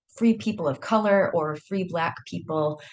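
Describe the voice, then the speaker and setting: A woman speaks with a Michigan accent at a moderate pace. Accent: Michigan American accent, unchanged. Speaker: historian. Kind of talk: academic seminar talk.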